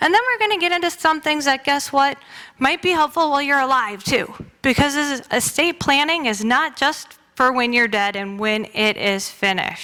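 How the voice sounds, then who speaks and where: A woman speaks at a moderate pace in a raised, projected voice that is high-pitched, bright and sharp. Her intonation is lively and her tone animated. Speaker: lawyer. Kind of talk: presentation in church.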